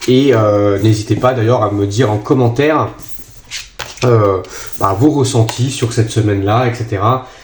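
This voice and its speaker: Over noticeable background noise and audible room echo, a man speaks at medium pitch and a fairly slow pace, his intonation fairly even and his pauses long and frequent. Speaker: tarot card reader. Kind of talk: tarot reading for viewers. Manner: hesitant, many fillers.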